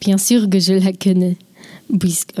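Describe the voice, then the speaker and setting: A woman speaks at a moderate pace with a medium pitch, in a Swiss German accent. The sound is dry and close, with no echo. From German-speaking Switzerland. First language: Swiss German (speaking French). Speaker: linguistics student. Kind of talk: scripted talk.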